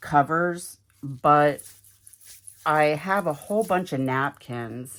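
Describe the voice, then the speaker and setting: Very slow and marked by long, frequent pauses, a woman with an American accent speaks at a very deep, low pitch with ordinary pitch variation. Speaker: crafter, video creator. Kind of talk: craft tutorial. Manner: halting, many fillers; casual, chatty.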